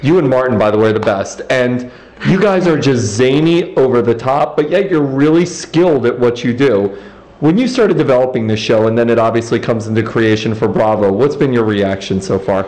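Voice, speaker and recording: Lively intonation and a fairly quick pace run at very even loudness, with audible room echo and noticeable background noise. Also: man, medium pitch for a man. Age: 30s. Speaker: interviewer. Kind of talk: interview.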